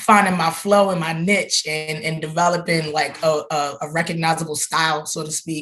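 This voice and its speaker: The delivery holds a moderate pace. There are hardly any pauses. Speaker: tattoo artist. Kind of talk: interview. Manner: casual, animated storytelling; quiet.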